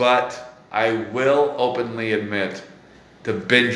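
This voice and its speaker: Speaking with an American accent, a man is heard against noticeable background noise. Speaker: comedy podcast host. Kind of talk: casual chat interview. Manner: animated, laughing, casual swearing.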